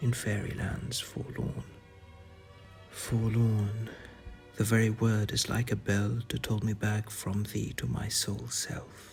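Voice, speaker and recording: Soft-spoken and gentle in tone, a man talks very slowly at a fairly low pitch with fairly even intonation as music plays in the background. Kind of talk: poetry reading. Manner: soft-spoken, gentle.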